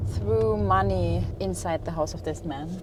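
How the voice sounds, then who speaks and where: A woman speaks in a German accent with a very deep, low pitch. Audible room echo and noticeable background noise surround her. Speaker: travel vlogger. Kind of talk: travel vlog.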